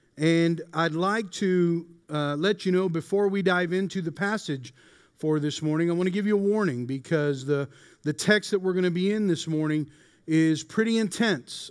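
A man talks at a moderate pace with a high pitch and ordinary pitch variation. The background is quiet. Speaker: pastor. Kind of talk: sermon. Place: hall. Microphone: headset.

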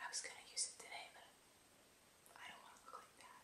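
A woman whispers in a gentle tone. Her pace is moderate. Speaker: ASMR creator. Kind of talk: ASMR whispered talk to camera. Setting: close binaural microphone recording. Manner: whispered, gentle, soft-spoken. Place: empty room.

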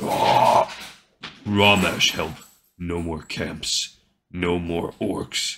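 A man bellows in a raspy, put-on character voice with a very deep, low pitch. He goes very slowly, with long, frequent pauses. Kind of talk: broken orcish. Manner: bellowing, despondent.

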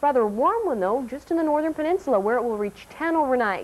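This is a woman speaking. Her intonation is lively. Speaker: TV presenter. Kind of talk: weather forecast. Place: studio. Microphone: lapel.

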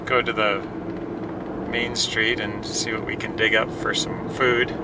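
A man at a fairly slow pace, dry sound with no echo, over loud background noise. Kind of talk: casual vlog chat. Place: car. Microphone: camera far.

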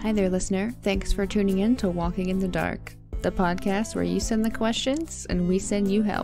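Against music in the background, a woman talks with hardly any pauses and very even loudness. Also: moderate pace. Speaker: podcast host. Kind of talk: podcast intro.

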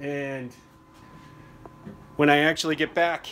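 A man speaks at a fairly slow pace with a fairly bright tone.

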